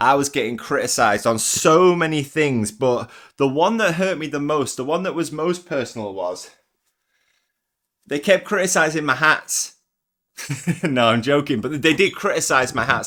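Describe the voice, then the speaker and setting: A man with an English accent speaks at a fairly high pitch and a moderate pace. His intonation is lively, and the recording is very clean with a silent background. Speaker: vlogger. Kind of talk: casual vlog monologue. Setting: walking around at home. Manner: energetic, intense.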